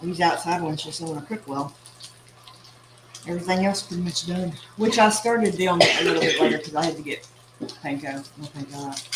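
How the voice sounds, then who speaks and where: A woman speaks at a fairly quick pace in a fairly low voice with ordinary pitch variation, big swings in loudness, and long, frequent pauses over noticeable background noise. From East Texas. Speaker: cooking channel host. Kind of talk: casual cooking livestream.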